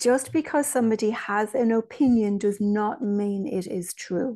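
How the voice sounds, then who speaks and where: Against a quiet background, a woman with an Irish accent speaks slowly at a fairly high pitch, her dark, mellow tone carrying ordinary pitch variation. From Ireland. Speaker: spiritual medium and author. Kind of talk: interview conversation.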